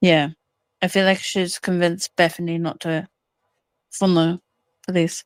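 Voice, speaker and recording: Recorded very cleanly with a silent background and a dry, close sound with no echo, a woman speaks at medium pitch in an English accent. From northern England, near the Scottish border. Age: 20s. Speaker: caller. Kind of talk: casual chat.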